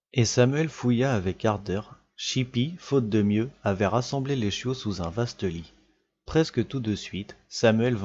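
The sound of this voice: The background stays quiet. Over it, an unforced reading voice shows ordinary pitch variation.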